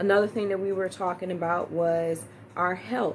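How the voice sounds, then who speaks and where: Music plays in the background as a woman speaks at a fairly slow pace. Her pitch sits fairly low. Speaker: church minister teaching. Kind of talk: sermon-style teaching. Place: home room. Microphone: phone near.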